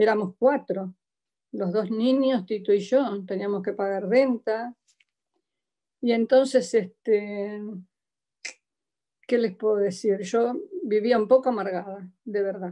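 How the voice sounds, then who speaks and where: Speaking at a very slow pace with long, frequent pauses, a woman with a Buenos Aires accent has a dark, mellow tone, medium pitch and fairly even intonation. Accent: Buenos Aires (porteño) Spanish. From Argentina, Buenos Aires. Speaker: church member giving testimony. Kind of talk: testimony. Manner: halting.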